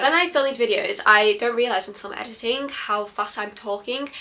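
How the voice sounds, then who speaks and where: A woman with a British accent speaks at a high pitch with lively intonation. Background noise is noticeable. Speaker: book reviewer vlogger. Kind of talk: casual book review monologue. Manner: fast; animated.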